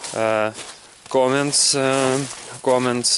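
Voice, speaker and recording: With a Russian accent, a man talks in fairly even intonation over noticeable background noise. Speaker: English learner vlogger. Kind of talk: casual vlog monologue. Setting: outdoors in a forest walking a dog. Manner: halting, many fillers and repetitions.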